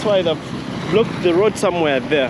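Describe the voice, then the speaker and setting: A man's high-pitched voice with ordinary pitch variation, dry with no echo, over loud background noise. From Uganda. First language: not English. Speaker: video blogger. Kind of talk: walking tour vlog narration. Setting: outdoors. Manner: casual. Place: street. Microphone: phone near.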